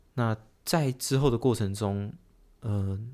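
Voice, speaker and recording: A man speaks at a fairly slow pace in a fairly low voice, recorded very cleanly against a silent background. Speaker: car crash survivor, law grad school applicant. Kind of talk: personal testimony in interview. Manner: halting.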